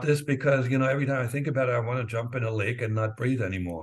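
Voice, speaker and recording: A man talks at a very fast pace. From East Germany. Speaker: former spy, author. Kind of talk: interview answer.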